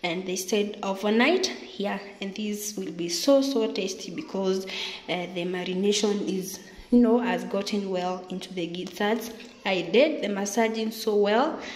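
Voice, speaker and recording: A woman speaks at a fairly slow pace. Her pitch varies in an ordinary way, and the room echo is audible. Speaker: home cook vlogger. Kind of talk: cooking tutorial. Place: kitchen.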